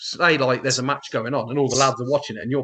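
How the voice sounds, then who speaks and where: A man speaks with a fairly high pitch and a bright, sharp tone, with an English Midlands accent. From England, Northamptonshire. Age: 40s. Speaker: wrestling commentator. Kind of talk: casual interview chat. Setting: face to face interview. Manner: fast.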